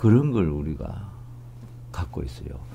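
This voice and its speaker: Here a man talks at a fairly slow pace. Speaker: professor interviewee. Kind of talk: interview answer. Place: hall.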